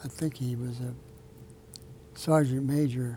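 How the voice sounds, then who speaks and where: At a fairly slow pace, a man talks in a somewhat breathy, medium-pitched voice with a dark, mellow tone and monotone, flat intonation. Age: 80s+. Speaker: author and retired military officer. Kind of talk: interview. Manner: halting.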